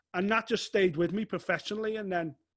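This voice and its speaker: A man talks very fast, and the background is quiet. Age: 40s. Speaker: fight sports journalist. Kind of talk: casual interview chat. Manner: animated.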